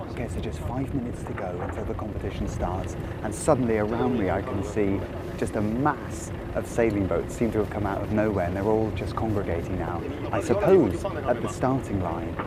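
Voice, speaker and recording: With audible room echo and noticeable background noise, a man talks at a fairly quick pace with ordinary pitch variation. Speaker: TV culture and travel show host. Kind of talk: on-location presenting. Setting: outdoors on a sailing boat. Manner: quiet.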